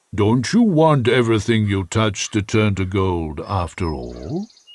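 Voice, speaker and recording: A man's put-on character voice, fairly low-pitched, at a fairly slow pace. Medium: read story. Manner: gentle, knowing.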